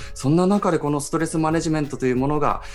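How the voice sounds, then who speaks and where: Noticeable background noise runs behind a man speaking. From Iwate, Japan. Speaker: radio host and photojournalist. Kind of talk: radio talk show.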